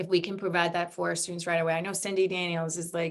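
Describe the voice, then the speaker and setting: A woman with a non-native accent speaks at a fairly low pitch in a flat, monotone intonation. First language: not English. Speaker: webinar co-host, university staff. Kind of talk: panel webinar discussion.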